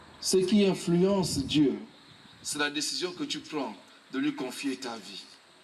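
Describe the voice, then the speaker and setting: A man speaks at a very slow pace in a high pitch, with very wide pitch swings and big swings in loudness. Long, frequent pauses break up his speech, and audible room echo surrounds it. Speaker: evangelist preacher. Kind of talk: sermon. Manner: slow and calm.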